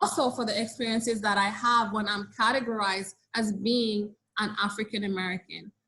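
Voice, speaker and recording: With a Caribbean accent, a woman speaks at a fairly quick pace. Her intonation stays monotone and flat. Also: fairly high pitch for a woman. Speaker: social work professor. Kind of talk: webinar Q&A answer.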